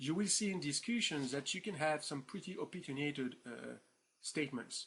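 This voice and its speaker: The tone is bright and sharp, with a French accent. The pace is moderate. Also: man. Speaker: professor. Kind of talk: lecture. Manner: hesitant, many fillers; informal, animated.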